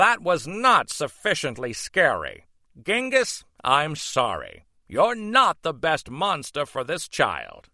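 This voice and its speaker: Here a man puts on a character voice. It is pitched high. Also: fairly slow pace. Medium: read story. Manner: formal, instructive.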